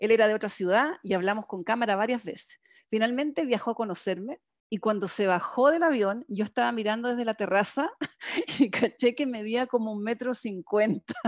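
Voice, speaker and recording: In a plain, everyday voice, a woman with fairly high pitch and ordinary pitch variation speaks at a fairly quick pace, captured as a very clean recording with a silent background and a dry, close sound with no echo. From Chile. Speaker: podcast co-host. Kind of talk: casual chat.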